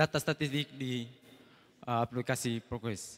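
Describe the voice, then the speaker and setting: This is a man speaking. His tone is bright and sharp. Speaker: seminarian student. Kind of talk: prayer. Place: hall. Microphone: handheld.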